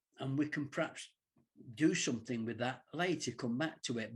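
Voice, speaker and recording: Pitched in the medium range, a man talks in a somewhat breathy voice. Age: 70s. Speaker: interviewer, channel host. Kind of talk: interview.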